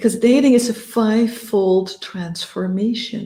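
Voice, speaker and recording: A woman's somewhat breathy, dark, mellow voice with a non-native accent and monotone, flat intonation. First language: not English. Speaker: dating and relationship coach. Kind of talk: coaching talk to camera. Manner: halting at times, searching for words.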